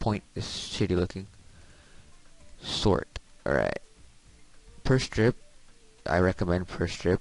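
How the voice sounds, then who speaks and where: A man's very deep, low voice over background music, fairly slow, with ordinary pitch variation and long, frequent pauses. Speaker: emulator tutorial maker. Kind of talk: casual tutorial narration.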